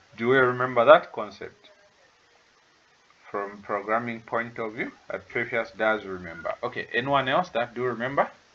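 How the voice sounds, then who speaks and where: A man with a non-native accent talks with ordinary pitch variation. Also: medium pitch for a man, moderate pace. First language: not English. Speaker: tutor. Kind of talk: online lecture. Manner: hesitant, many fillers.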